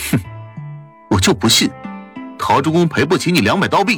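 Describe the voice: A man performs a put-on character voice with a husky, rough edge and a fairly bright tone, pitched fairly high with big pitch swings. He speaks at a moderate pace over faint background music.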